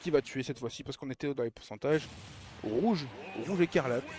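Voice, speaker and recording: A man speaks in an animated tone at a fairly high pitch, his intonation lively. The sound is dry and close with no echo, and music plays in the background. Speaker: esports commentator. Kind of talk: live commentary.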